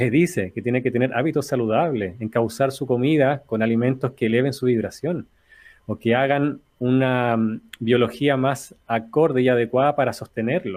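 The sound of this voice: With a slightly mellow tone, a man speaks at a moderate pace and varies his pitch in an ordinary way.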